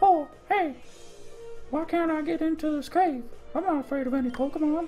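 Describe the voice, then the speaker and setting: A put-on character voice speaks at a high pitch and a fairly quick pace. Clear music plays in the background. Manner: cheerful, cartoonish.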